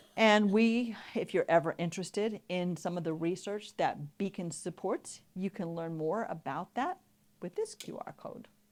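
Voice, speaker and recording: A woman talks at a moderate pace in an ordinary speaking voice, medium in pitch, with ordinary pitch variation and big swings in loudness. The recording is very clean, with a silent background. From New York. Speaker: patient advocacy educator. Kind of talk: conference presentation. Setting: stage with audience.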